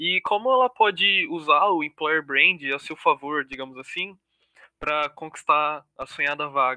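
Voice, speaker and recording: Using an unremarkable speaking voice, a man speaks at a moderate pace with fairly high pitch and ordinary pitch variation. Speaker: student podcast co-host. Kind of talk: interview.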